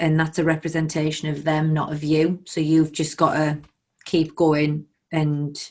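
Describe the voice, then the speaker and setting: A woman speaks with a northern English accent. Her pitch is fairly low and her pace moderate. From northern England. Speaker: podcast host. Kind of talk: interview podcast.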